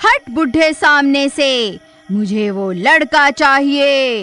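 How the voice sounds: A woman speaks slowly in a cartoonish character voice, high-pitched with a bright, sharp tone and lively intonation, while faint music plays in the background.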